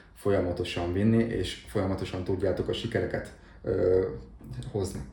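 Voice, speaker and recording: A man's fairly low voice at a fairly quick pace, with ordinary pitch variation and audible room echo. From southern Slovakia (Hungarian minority, Dunajská Streda area). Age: 30s. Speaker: salesperson. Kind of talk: interview.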